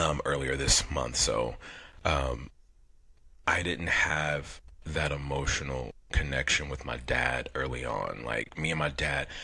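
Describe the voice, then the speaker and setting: Speaking at a fairly slow pace, a man has a very deep, low pitch with vocal fry and a bright, sharp tone. His intonation is monotone and flat. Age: 40s. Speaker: podcast co-host. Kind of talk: casual chat. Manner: halting.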